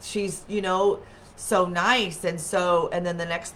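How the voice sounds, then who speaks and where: Recorded with audible room echo, a woman speaks at a fairly low pitch with fairly even intonation. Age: 40s. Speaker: wellness livestream host. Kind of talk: casual chat. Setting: webcam livestream.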